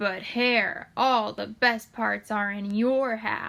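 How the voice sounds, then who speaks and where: Putting on a character voice, a woman speaks at a very slow pace with a fairly high pitch in a very clean recording with a silent background. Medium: read story. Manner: slow, grumbling.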